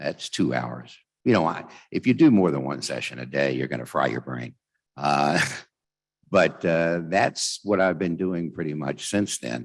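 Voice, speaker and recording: A man's very deep, low voice with vocal fry and lively intonation, at a fairly slow pace over a quiet background. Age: 70s. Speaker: talking book narrator. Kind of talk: convention speech with Q&A. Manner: halting, many fillers.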